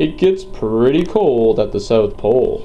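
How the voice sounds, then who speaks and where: Here a man talks at a moderate pace in a put-on character voice. Background noise is clearly audible. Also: fairly high pitch for a man. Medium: read story. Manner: warm, gentle.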